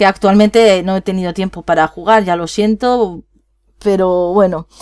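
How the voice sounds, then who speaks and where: A woman's medium-pitched voice shows ordinary pitch variation as she talks fairly slowly. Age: 20s. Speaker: gaming youtuber. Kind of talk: casual vlog talk to viewers. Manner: rambling, animated.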